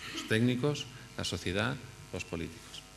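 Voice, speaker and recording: Heard with audible room echo, a man with a Spanish accent talks at a moderate pace with ordinary pitch variation. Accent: Spanish accent when speaking English. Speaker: architect. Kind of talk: conference talk. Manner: halting, many fillers and restarts.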